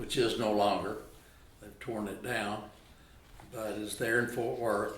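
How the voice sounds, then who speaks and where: A man with a Texan accent speaks with audible room echo and noticeable background noise. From Texas, Arlington. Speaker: retired lawyer. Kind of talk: oral history interview.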